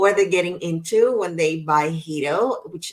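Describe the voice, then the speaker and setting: A woman with a plain, everyday voice speaks at fairly low pitch with ordinary pitch variation. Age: 40s. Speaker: podcast host. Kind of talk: interview conversation.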